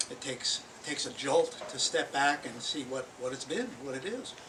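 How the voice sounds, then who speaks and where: A man with a fairly high voice talks at a moderate pace. Noticeable background noise is present. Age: 70s. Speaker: poet. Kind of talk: informal remarks at poetry open mic. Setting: bookstore poetry reading with live audience. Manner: hesitant, with frequent fillers.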